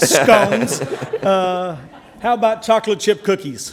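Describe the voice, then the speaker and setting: In a Southern US accent, a man speaks at a very slow pace. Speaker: conference panel speaker on animal shelters. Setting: stage, speaking to an audience. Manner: casual, joking.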